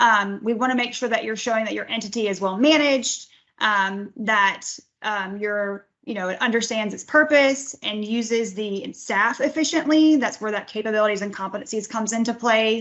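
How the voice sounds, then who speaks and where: The speaker is a woman with a fairly high voice. Her pitch moves in an ordinary way. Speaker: grants division director presenting training. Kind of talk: webinar training presentation. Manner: fast; frequent um fillers.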